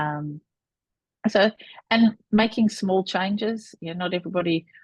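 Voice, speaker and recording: A somewhat breathy voice at a moderate pace, with ordinary pitch variation. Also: woman. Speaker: business founder. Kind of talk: interview.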